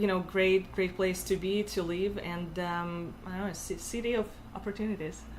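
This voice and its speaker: A woman with a Russian accent speaks at a medium pitch and moderate pace in a monotone, flat intonation. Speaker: tech community organizer and founder. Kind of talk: interview. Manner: halting, many fillers.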